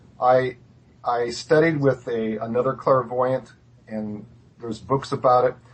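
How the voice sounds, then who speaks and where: The man's voice is somewhat breathy, at a fairly slow pace. His pitch varies in an ordinary way. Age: 60s. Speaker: clairvoyant guest. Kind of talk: interview.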